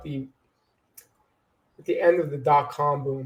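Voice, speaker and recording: Somewhat breathy, a man with an American accent speaks at a fairly high pitch and a moderate pace. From New York, Long Island. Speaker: marketing executive. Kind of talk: podcast interview.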